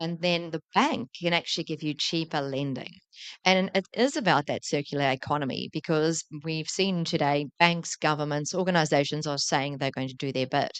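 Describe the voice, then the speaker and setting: In a New Zealand accent, a woman speaks with a very deep, low pitch and ordinary pitch variation, the sound dry and close with no echo against a quiet background. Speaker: tech entrepreneur, company founder. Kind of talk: conference panel talk. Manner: fast; animated.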